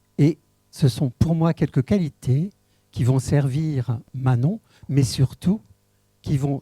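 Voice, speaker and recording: Music plays in the background as a man speaks at a very slow pace and a fairly high pitch. His pitch variation is ordinary, and the sound is dry and close with no echo. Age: 70s. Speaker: municipal election candidate, retired school head. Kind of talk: public meeting self-introduction. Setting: public meeting. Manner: formal.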